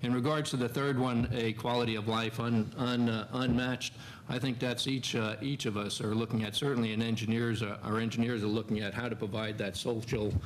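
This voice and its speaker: Audible room echo surrounds a man who speaks at a moderate pace in a monotone, flat intonation with a medium pitch. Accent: American. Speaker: military engineer commander on a panel. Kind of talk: panel discussion answer. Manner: halting, many fillers.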